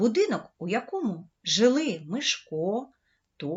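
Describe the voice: The voice is plain reading aloud over a quiet background.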